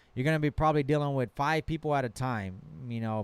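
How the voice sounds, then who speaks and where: At a fairly quick pace, this voice shows ordinary pitch variation, with a dry, close sound with no echo in a very clean recording with a silent background. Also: man. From Texas, rural. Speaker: truck mechanic and shop owner. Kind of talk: live stream Q&A. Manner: casual, hesitant with repetitions.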